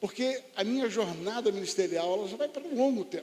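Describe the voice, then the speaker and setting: A man's lively intonation at a fairly quick pace, with noticeable background noise. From Rio de Janeiro, Brazil. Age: 60s. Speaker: pastor. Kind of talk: sermon. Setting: church conference with audience.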